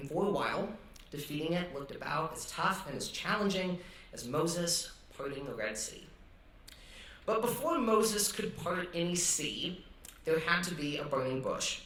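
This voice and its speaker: A high-pitched man with lively intonation at a moderate pace, long, frequent pauses, audible room echo and noticeable background noise. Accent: American. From US Northwest (Idaho, Montana). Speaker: student chapel speaker. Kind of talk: testimony. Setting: stage with audience.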